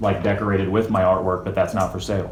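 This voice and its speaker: A man speaks very fast in an animated tone. The recording has audible room echo and noticeable background noise. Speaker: street artist and protester. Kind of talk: heated debate. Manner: loud.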